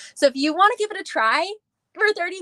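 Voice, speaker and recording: A woman speaks in a raised, projected voice with a bright, sharp tone. She goes at a very fast pace, and the sound is dry and close with no echo. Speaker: beauty sales director. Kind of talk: live stream sales pitch. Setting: live video call. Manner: animated.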